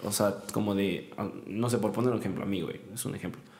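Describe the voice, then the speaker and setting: Over audible room echo, a man talks at a moderate pace with fairly even intonation. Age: 20s. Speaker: podcast host and university student. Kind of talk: casual chat.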